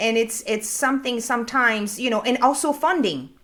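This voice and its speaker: Captured in a very clean recording with a silent background, a woman with a French accent uses a raised, projected voice with a bright, sharp tone. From France. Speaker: business consultant. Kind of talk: panel discussion. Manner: halting, repeats words.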